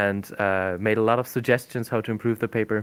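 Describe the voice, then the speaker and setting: A man talks in a German accent at a moderate pace with fairly even intonation. The recording is very clean, with a silent background. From Germany. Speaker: language teacher and researcher. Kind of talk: podcast interview. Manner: halting.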